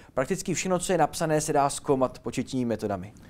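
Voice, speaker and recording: A man's energetic voice at a very fast pace with lively intonation, on a very clean recording with a silent background. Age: young. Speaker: linguist and teacher. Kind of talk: interview.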